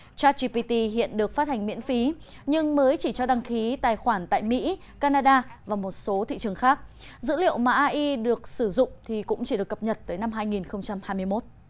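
A woman's high-pitched voice at a moderate pace, with ordinary pitch variation. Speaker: news anchor. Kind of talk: news reading. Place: studio.

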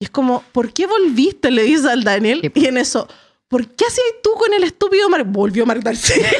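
A woman speaks at a moderate pace with a high pitch and very wide pitch swings, the background quiet. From Chile. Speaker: podcast host. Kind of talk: casual chat. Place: studio. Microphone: studio mic.

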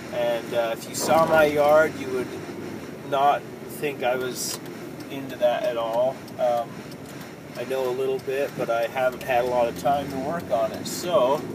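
Against noticeable background noise, a man talks at a fairly slow pace with long, frequent pauses in a dry sound with no echo. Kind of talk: casual vlog chat. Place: car. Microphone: phone near.

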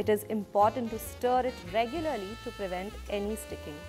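A woman's fairly high-pitched voice at a moderate pace, with music in the background. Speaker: cooking narrator. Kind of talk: documentary narration.

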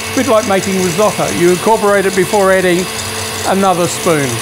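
A man races through his words at a very fast pace, with clear background noise present. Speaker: home cook host. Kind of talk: cooking tutorial. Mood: warm, chatty. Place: kitchen.

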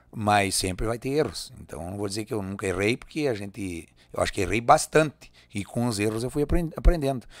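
Over a quiet background with a dry sound and no echo, a man talks at a fairly quick pace, his fairly low pitch showing ordinary variation. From Rio Grande do Sul, Brazil. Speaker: singer and accordionist; guest. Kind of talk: casual interview. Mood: relaxed, reflective. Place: studio. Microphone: studio mic.

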